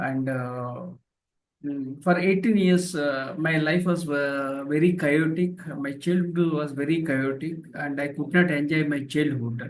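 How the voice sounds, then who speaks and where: Speech with a Telugu accent unfolds at a fairly slow pace with fairly even intonation. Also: man, fairly high pitch for a man. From India, rural village. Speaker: professor and author. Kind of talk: interview testimony. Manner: halting, many fillers.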